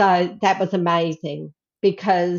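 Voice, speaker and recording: In a monotone, flat delivery, a woman speaks at a medium pitch. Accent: Australian. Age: 60s. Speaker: herbalist. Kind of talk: casual interview.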